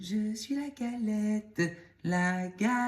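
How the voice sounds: The reading voice is natural, and its pitch variation is ordinary.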